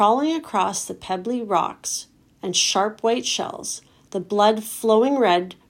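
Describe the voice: Pitch moves in an ordinary way. The text is read aloud plainly.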